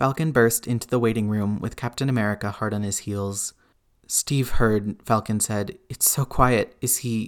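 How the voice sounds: The speaker uses a natural reading voice.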